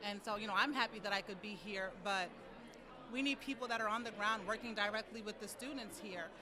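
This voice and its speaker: Crowd noise fills the background as a woman speaks. Her fairly high voice moves at a fairly quick pace with fairly even intonation. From US, New York. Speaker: nonprofit executive director. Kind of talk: interview. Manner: fluent with filler words.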